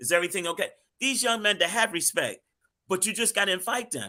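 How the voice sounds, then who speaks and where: In a very clean recording with a silent background, a man with an American accent projects a raised voice with a bright, sharp tone at a very fast pace, using ordinary pitch variation. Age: 60s. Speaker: street minister. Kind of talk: panel discussion.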